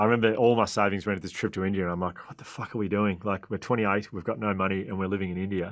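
Very fast, monotone delivery from a man with an Australian accent, fairly low pitch, flat intonation, hardly any pauses, and a quiet background. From Australia (Melbourne). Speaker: author and resilience speaker. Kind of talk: interview storytelling. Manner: halting. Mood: animated, reflective storytelling. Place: home room. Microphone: studio mic.

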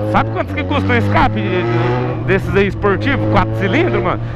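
Music plays in the background as a man talks at a fairly quick pace. His voice sounds dry, with no echo. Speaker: motovlogger. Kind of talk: casual vlog chat. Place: motorbike.

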